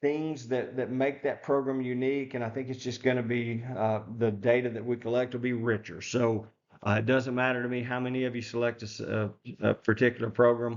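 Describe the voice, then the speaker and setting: A medium-pitched male voice in a flat monotone. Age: 60s. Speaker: professor. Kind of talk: lecture. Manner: halting, many fillers.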